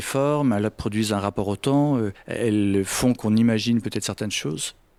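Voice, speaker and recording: The recording is very clean and dry, close with no echo and a silent background, and the pitch varies in an ordinary way. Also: man. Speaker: photographer. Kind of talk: interview answer. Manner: soft-spoken.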